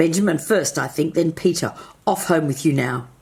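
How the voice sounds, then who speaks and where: A woman uses a raspy, put-on character voice at a fairly low pitch. She keeps a moderate pace. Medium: read story. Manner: brisk, commanding.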